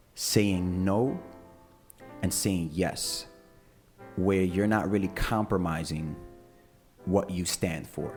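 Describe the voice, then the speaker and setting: Over music in the background, a man with a very deep, low pitch talks at a very slow pace with ordinary pitch variation and long, frequent pauses. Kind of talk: podcast host welcoming listeners and opening with an affirmation.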